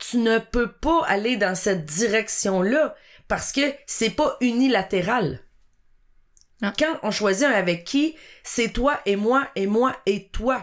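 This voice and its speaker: In a very clean recording with a silent background, a woman speaks very slowly at a fairly high pitch. Her intonation is lively and her loudness stays very even. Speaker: podcast co-host. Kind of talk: casual chat.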